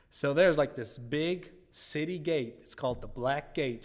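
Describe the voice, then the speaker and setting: Lively intonation from a man, with audible room echo. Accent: non-native. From Germany. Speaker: missionary church planter. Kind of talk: church presentation. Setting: church.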